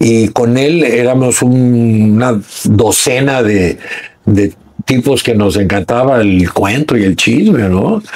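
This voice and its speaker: Against noticeable background noise, a man speaks very slowly at medium pitch. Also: ordinary pitch variation. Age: 70s. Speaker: journalist, TV reporter and producer. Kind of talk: podcast interview answer.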